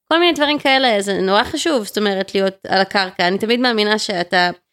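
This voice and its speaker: In a very clean recording with a silent background, a woman speaks at a fairly quick pace. Hers is a normal speaking voice at a medium pitch. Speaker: entrepreneur. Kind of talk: interview.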